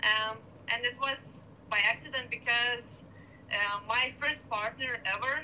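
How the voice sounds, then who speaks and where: A woman's fairly high voice with a Lithuanian accent, at a fairly slow pace and with fairly even intonation, over noticeable background noise. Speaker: beach volleyball player. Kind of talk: casual interview chat. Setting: video call.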